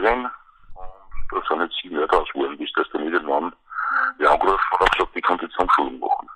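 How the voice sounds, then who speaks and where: Speaking at a very fast pace, a man breaks his delivery with long, frequent pauses. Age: 50s. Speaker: Paralympic judo champion. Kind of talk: interview. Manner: halting. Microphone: poor phone line quality.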